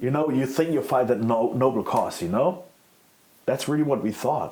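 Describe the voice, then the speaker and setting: A man with a German accent speaks at a fairly quick pace in a dark, mellow tone, his pitch varying in an ordinary way. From Germany. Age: 40s. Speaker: former extremist. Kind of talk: interview. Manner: halting.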